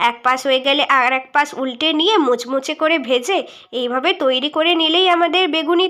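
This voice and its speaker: A woman speaks high with lively intonation. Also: very clean recording, silent background. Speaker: cooking vlogger. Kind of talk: cooking tutorial voice-over. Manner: informal, chatty.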